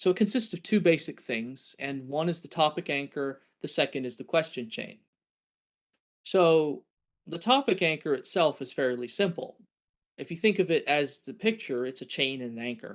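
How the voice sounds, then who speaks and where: Against a quiet background, a man speaks in a normal speaking voice at a moderate pace. His fairly high pitch carries lively intonation, and his loudness swings a lot. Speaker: scientist lecturer. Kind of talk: lecture.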